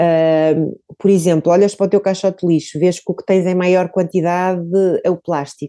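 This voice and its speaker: Her voice has a dark, mellow tone and fairly low pitch, and this woman speaks at a moderate pace with monotone, flat intonation. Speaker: author and zero-waste advocate. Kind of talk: casual interview.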